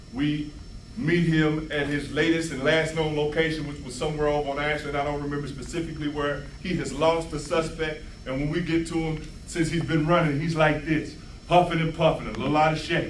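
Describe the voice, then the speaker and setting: There is noticeable background noise and audible room echo as a man with a fairly high pitch talks at a fairly quick pace. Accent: American. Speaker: former police officer speaking at a rally. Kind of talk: public speech storytelling. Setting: community event with audience. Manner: fast; animated.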